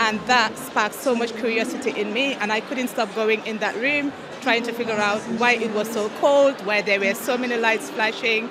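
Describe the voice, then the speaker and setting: Amid audible room echo and noticeable background noise, a woman speaks at a fairly high pitch with fairly even intonation. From The Gambia. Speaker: solutions architect. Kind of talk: panel discussion.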